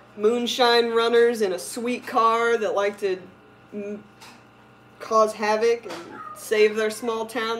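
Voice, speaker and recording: Speaking very slowly with long, frequent pauses, a woman with an American accent talks at a fairly high pitch over noticeable background noise. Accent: Southern twang, stronger when drinking. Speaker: aquarium livestreamer. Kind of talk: casual livestream chat. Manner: animated.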